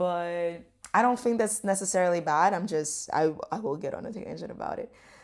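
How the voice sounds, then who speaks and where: A woman with a Portuguese accent and a medium pitch speaks at a moderate pace with lively intonation on a very clean recording with a silent background. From Brazil. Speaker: travel vlogger. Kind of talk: casual vlog talk to camera. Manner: casual, filler-heavy.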